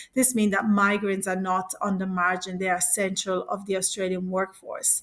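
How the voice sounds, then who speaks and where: With a non-native accent, a woman speaks at medium pitch in a flat, monotone intonation. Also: moderate pace. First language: not English. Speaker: presenter. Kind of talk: presentation. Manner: halting, with fillers and restarts.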